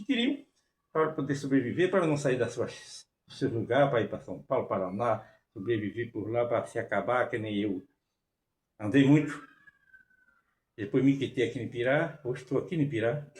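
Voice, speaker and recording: A man speaks at a medium pitch in a somewhat breathy voice. He leaves long, frequent pauses. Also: ordinary pitch variation, moderate pace. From Brazil, rural Bahia. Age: 80s+. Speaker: forró musician and former farmworker. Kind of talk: personal storytelling with home tour. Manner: halting.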